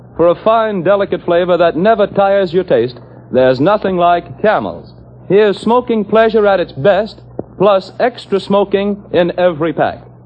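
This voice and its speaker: A man with a high pitch talks at a moderate pace with ordinary pitch variation and very even loudness. Noticeable background noise sits behind him. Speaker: commercial announcer. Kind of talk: old-time radio commercial, sales pitch. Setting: radio broadcast. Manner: brisk, polished, salesy announcer delivery; upbeat, emphatic, hard-sell.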